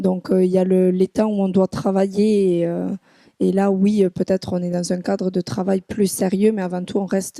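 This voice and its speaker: Recorded very cleanly with a silent background and a dry, close, echo-free sound, a woman speaks at a moderate pace in a dark, mellow tone, her medium pitch held flat and monotone. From southwest France. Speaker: business school student. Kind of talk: podcast interview. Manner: hesitant, many fillers.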